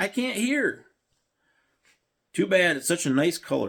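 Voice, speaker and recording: A man puts on a gruff, growling character voice at a high pitch. He moves at a fairly slow pace with very wide pitch swings. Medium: read story.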